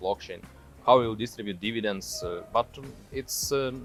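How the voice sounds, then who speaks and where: With music in the background, a man in a strong Russian accent speaks at medium pitch with fairly even intonation. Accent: thick Russian. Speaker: tech executive. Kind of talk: interview answer. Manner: hesitant, many fillers.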